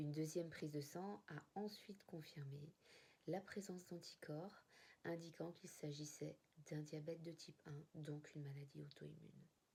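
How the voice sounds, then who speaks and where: A woman with a very deep, low voice and a dark, mellow, somewhat breathy tone speaks at a moderate pace with fairly even intonation. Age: 40s. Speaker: type 1 diabetic sharing her experience. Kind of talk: personal testimony to camera.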